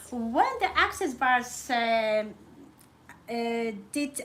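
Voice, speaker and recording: With a non-native accent, a woman speaks at a high pitch with lively intonation. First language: not English. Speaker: holistic therapist and host. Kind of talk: live conversational interview. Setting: live stream.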